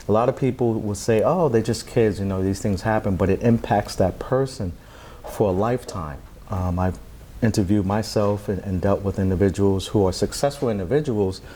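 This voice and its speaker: A man with a plain, everyday voice speaks at a fairly low pitch and a fairly quick pace, using ordinary pitch variation. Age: 40s. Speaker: founder of an anti-bullying organization. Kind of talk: interview.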